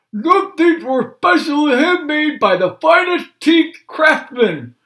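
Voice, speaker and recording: On a very clean recording with a silent background, a put-on character voice with high pitch moves at a fairly slow pace. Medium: read story. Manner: mumbling, toothless speech.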